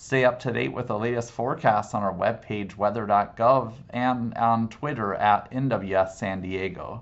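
Using an unremarkable speaking voice, a man at medium pitch talks with hardly any pauses and ordinary pitch variation. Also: fairly slow pace. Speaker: meteorologist. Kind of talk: weather report. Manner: formal; steady, informative.

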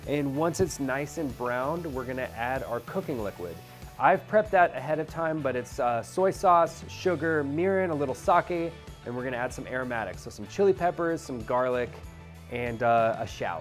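Over faint music in the background, a man speaks at a moderate pace. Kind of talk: tutorial. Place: kitchen.

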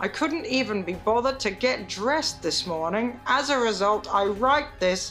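A woman's voice with very wide pitch swings, faint music in the background. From UK. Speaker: comedian, poet. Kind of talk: reading a letter aloud. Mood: deadpan, listless, weary. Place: home room.

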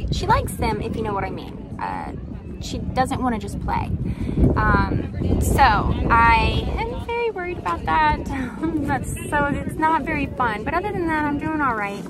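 A woman speaks at a fairly slow pace with a dry sound and no echo. Loud background noise runs behind her. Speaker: crochet vendor vlogger. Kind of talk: casual vlog chat. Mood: worried but upbeat, laughing. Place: market. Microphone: phone near.

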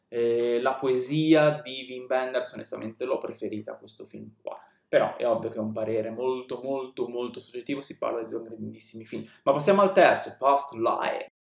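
Audible room echo surrounds a man whose loudness swings widely. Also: moderate pace. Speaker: film reviewer on a video channel. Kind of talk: casual monologue film review. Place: home room.

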